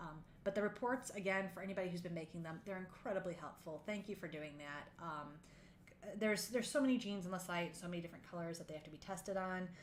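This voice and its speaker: The woman talks at a very fast pace, quietly and with a fairly low pitch. Light background noise sits under her voice. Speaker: game developer livestreaming art work. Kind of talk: casual livestream commentary. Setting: livestream with background music. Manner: quiet, lowered voice; halting, many fillers. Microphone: voice too quiet on stream.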